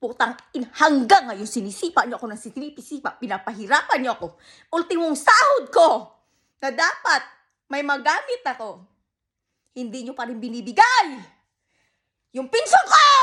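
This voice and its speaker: In a raised, projected voice, a woman speaks at a high pitch and a moderate pace, her bright, sharp tone moving through very wide pitch swings and big swings in loudness, with long, frequent pauses. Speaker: vlogger. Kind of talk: angry rant to camera. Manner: loud, shouting.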